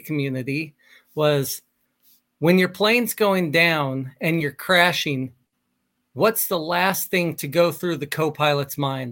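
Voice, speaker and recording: At a fairly slow pace, a man with a plain, everyday voice speaks at a fairly high pitch with ordinary pitch variation, recorded very cleanly against a silent background. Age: 40s. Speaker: military pilot and life coach. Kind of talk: casual interview.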